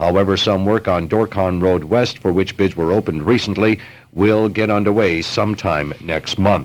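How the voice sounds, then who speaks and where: An ordinary speaking voice moves at a moderate pace, keeping fairly even intonation and very even loudness. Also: man, fairly low pitch for a man. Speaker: local radio newsman. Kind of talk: local radio news report. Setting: radio studio.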